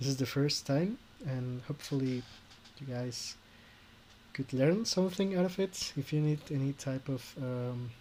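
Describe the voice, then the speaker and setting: A man with a non-native accent speaks at a moderate pace, with long, frequent pauses. His fairly high voice is somewhat breathy and has ordinary pitch variation. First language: Spanish. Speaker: YouTuber, orchestral cover arranger. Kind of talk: tutorial. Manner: halting.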